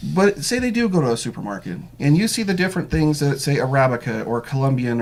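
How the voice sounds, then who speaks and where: A man's fairly high-pitched voice at a fairly quick pace. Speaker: local news interview host. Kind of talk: interview. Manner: fast.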